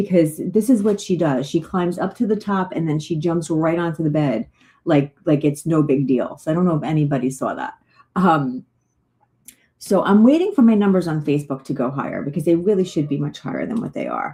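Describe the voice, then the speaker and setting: A woman's voice has a dark, mellow tone and is somewhat breathy. Her intonation is lively. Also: fairly low pitch for a woman, fairly quick pace. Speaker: psychic medium. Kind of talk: live stream chat. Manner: fast; animated.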